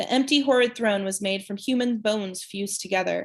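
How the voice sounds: A natural reading voice moves with ordinary pitch variation.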